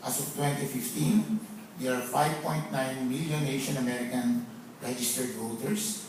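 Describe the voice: At a moderate pace, a man with a medium pitch speaks in a slightly mellow tone with fairly even intonation, and audible room echo surrounds his voice.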